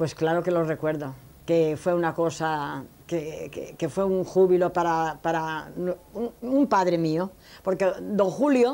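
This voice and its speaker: A woman's fairly low voice with a dark, mellow tone, ordinary pitch variation, and a very slow pace. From Spain, Elche (Alicante); Spain. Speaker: elderly interviewee recounting life story; interviewee. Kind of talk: life story interview. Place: home room. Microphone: lapel.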